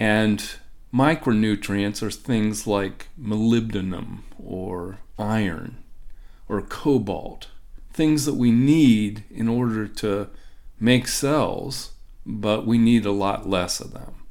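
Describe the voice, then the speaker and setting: A man with an American accent speaks at a very slow pace, his fairly low voice showing ordinary pitch variation amid audible room echo. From Ohio, US Midwest. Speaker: professor. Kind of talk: interview.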